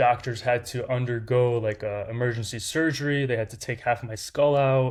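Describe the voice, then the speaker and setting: This man has a Lithuanian accent and a medium pitch. His intonation is fairly even, at a moderate pace. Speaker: startup founder. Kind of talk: interview storytelling. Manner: casual, many fillers.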